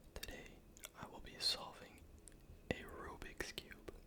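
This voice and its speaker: Someone whispers at a very slow pace in a calm tone. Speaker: ASMR content creator. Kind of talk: ASMR tutorial narration, whispered instruction. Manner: whispered, soft-spoken, calm.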